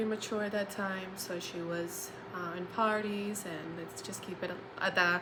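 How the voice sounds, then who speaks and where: A woman speaks with fairly even intonation. Audible room echo and noticeable background noise accompany her. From Colombia. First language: Spanish. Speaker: social work graduate student. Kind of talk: personal testimony. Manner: halting, many fillers.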